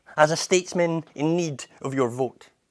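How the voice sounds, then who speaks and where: A man with a Scottish accent. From Edinburgh, Scotland. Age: 30s. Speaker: poet and spoken word performer. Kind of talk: spoken word poetry performance.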